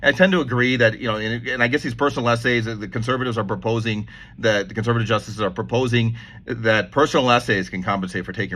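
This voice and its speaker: A man talks at a very fast pace with vocal fry. His tone is bright and sharp. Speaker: lawyer commentator on legal news. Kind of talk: casual monologue vlog. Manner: halting, many self-corrections.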